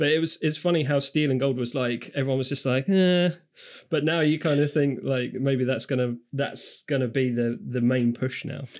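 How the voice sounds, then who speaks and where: Here a man speaks in a British accent at a fairly high pitch. His pace is moderate and his intonation fairly even. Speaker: podcast co-host. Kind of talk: casual chat.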